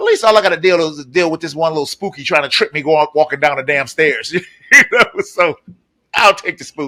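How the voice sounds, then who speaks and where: A loud man with a fairly high pitch, ordinary pitch variation, a bright, sharp tone and a fairly quick pace, in a dry, close sound with no echo. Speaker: podcast host. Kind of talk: casual chat.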